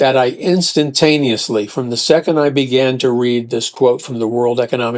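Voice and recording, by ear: The text is read aloud in a natural voice.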